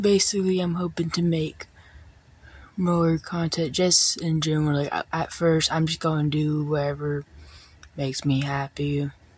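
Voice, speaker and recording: A quiet woman speaks at a very deep, low pitch. Her intonation stays fairly even. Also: moderate pace. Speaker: small YouTuber. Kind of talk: casual vlog talk to camera. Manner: quiet, keeping voice down; halting, many fillers.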